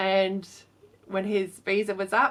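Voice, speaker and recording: The speaker is a woman. Her speech carries a southern English accent. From southern England, Portsmouth. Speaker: fashion designer. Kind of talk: Q&A vlog. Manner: casual, with fillers.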